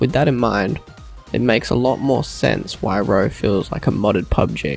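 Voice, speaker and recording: A man talks while music plays in the background. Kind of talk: gaming review narration.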